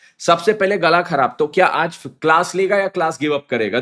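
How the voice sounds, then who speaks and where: Speaking at a fairly slow pace, a man uses an animated tone and lively intonation. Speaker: CA teacher. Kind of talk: live online lecture. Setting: live stream on mobile data.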